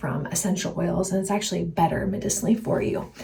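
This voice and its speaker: A soft-spoken woman at a medium pitch and fairly quick pace, with ordinary pitch variation and noticeable background noise. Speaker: herbalist and health coach vlogger. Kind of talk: casual vlog talk.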